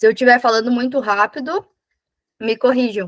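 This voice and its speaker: This is a woman talking. The variation in her pitch is ordinary. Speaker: business consultant facilitator. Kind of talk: online workshop presentation. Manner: halting self-corrections.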